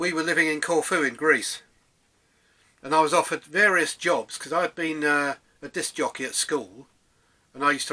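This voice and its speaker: In an English accent, a man speaks at a moderate pace with a fairly high, bright, sharp voice and fairly even intonation. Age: 60s. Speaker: DJ reminiscing, vlogger. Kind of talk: casual monologue, personal reminiscence. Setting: home room, self-recorded. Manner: hesitant, many fillers.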